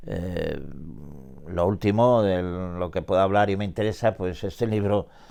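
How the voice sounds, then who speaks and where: Against a silent background in a very clean recording, a dark, mellow voice moves at a fairly slow pace with ordinary pitch variation. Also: man. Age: 80s+. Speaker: writer and poet. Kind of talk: interview. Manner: halting, with many repetitions and fillers.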